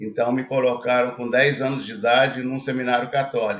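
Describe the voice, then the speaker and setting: A man talks at a moderate pace and a medium pitch. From Brazil, interior of Minas Gerais. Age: 70s. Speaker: retired investor. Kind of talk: interview, life story.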